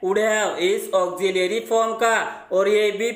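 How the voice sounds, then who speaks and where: A man's high-pitched, monotone voice with flat intonation, fairly slow in pace, over noticeable background noise. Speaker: English grammar teacher. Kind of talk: tutorial.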